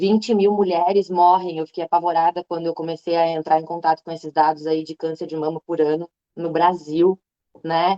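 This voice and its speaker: Fairly low in pitch, a woman speaks at a moderate pace with monotone, flat intonation. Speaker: veterinarian and breast cancer patient. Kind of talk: testimony. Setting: online live stream.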